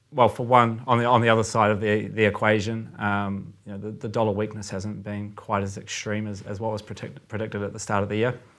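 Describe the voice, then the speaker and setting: On a very clean recording with a silent background, a man speaks in a New Zealand accent. His fairly low voice has monotone, flat intonation. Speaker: currency trader. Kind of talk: podcast discussion. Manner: many filler words and hesitations.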